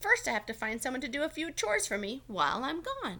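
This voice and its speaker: A woman puts on a character voice at a high pitch. She talks at a very fast pace. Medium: read story.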